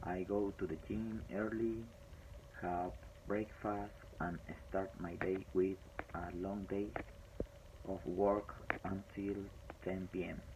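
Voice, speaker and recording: A man with a Spanish accent speaks very slowly at a fairly low pitch, with fairly even intonation. He leaves long, frequent pauses over noticeable background noise. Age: 40s. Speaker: language student. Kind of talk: speaking homework presentation. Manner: halting.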